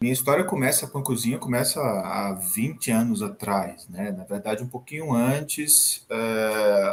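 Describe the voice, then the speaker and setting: Clear background noise is audible throughout. Over it, a man talks with a mid-range pitch. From Brazil, Sergipe (Northeast). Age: 40s. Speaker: chef and professor. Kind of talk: interview.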